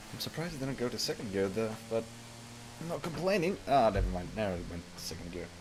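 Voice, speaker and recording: A man talks at a very fast pace, his pitch swinging very widely. Noticeable background noise sits behind him. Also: medium pitch for a man. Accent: American. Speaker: gaming streamer. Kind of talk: live gameplay commentary. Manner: casual, chatty.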